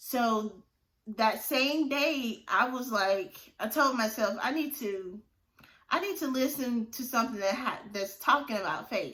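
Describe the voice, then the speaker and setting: A woman talks in a high voice with a bright, sharp tone. Her intonation is lively and her pace fairly slow. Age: 30s. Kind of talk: casual talk to camera, faith testimony. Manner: upbeat, enthusiastic.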